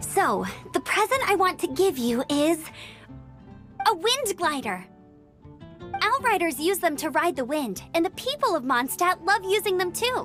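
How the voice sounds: Over faint background music, a woman performs a cartoonish character voice, extremely high and fairly bright, with big pitch swings. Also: fairly slow pace.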